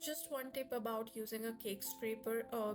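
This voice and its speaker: Somewhat breathy voice with fairly even intonation. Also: woman. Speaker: home cooking video creator. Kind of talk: voiceover tutorial. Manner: casual, with fillers.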